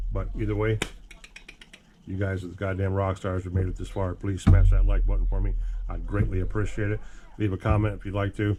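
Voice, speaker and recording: Over music in the background, a man with a very deep, low pitch talks at a fairly quick pace with fairly even intonation and long, frequent pauses. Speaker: RC hobby YouTuber. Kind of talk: casual workshop vlog. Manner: casual, rambling.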